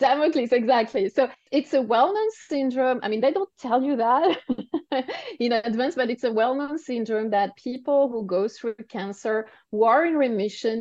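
A woman speaks at a moderate pace in a high-pitched voice with a French accent, her pitch rising and falling in an ordinary way. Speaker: cancer survivor and coach for women. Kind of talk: podcast interview.

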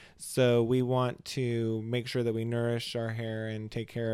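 At a moderate pace, a man with an American accent and a medium pitch speaks in a dark, mellow tone with monotone, flat intonation. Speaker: salon owner and podcast host. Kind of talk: casual chat.

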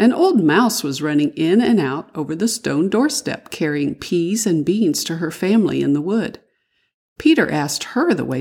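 A woman's fairly low voice at a moderate pace, swinging very widely in pitch, on a very clean recording with a silent background. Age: old. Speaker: storyteller for children. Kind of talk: reading aloud.

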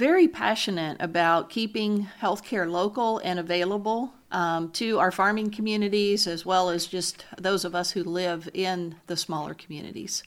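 A woman with a plain, everyday voice speaks at a medium pitch in an American accent, with ordinary pitch variation. She keeps a moderate pace with hardly any pauses on a very clean recording with a silent background. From US South, South Louisiana. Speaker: hospital executive. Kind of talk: interview.

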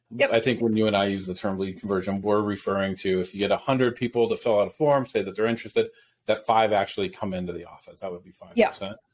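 A man with an upstate New York accent talks at a very fast pace in a fairly low pitch. His loudness swings widely while his intonation stays fairly even. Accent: upstate New York American. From US Northeast.

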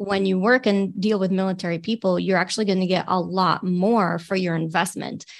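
In an unremarkable speaking voice of medium pitch, a woman talks at a fairly quick pace with hardly any pauses, very even loudness and fairly even intonation against a quiet background. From Michigan, near Detroit. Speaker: military veteran and leadership trainer. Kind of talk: interview.

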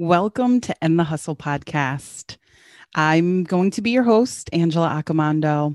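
A woman talks at a fairly slow pace with lively intonation in a plain, everyday voice. The background is quiet. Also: fairly low pitch for a woman. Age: 40s. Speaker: podcast host and entrepreneur. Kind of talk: solo podcast monologue.

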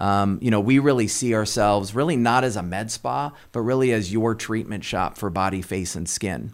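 A man with a Californian accent speaks at a moderate pace, his fairly low pitch showing ordinary variation. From Southern California. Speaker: company executive. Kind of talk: interview. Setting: studio.

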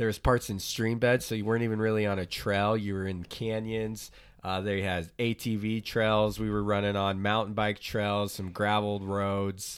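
Speaking with an American accent and hardly any pauses, a man with a fairly low pitch talks in a monotone, flat way on a very clean recording with a silent background. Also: moderate pace. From Oklahoma, US. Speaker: podcast co-host, ultrarunner. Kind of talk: casual chat. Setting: home office studio.

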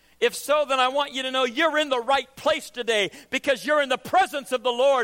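A man's raised, projected voice at an extremely high pitch, bright and sharp in tone, with lively intonation and a dry, close sound with no echo. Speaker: preacher. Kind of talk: sermon. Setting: church. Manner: animated, emphatic preaching with rhetorical questions and call-and-response cadence.

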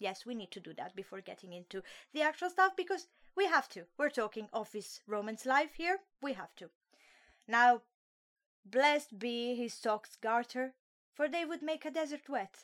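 With an Italian accent, a woman talks in an animated tone at a high pitch and a moderate pace, her pitch swinging very widely and her loudness shifting a lot, with long, frequent pauses. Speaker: solo podcast host reviewing webtoons. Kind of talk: casual comedic monologue.

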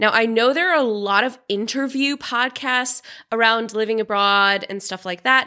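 On a very clean recording with a silent background, a woman with a normal speaking voice and a fairly high pitch speaks at a moderate pace with ordinary pitch variation. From US Pacific Northwest (Seattle). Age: 30s. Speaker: podcast host and relocation coach. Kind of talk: casual solo podcast monologue.

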